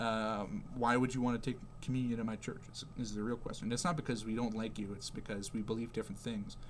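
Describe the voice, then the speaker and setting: In a room with audible echo, a man with a Canadian accent speaks very fast at medium pitch with fairly even intonation and hardly any pauses. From Canada. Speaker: religious video creator. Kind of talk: casual religious explainer. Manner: halting, many fillers; emphatic.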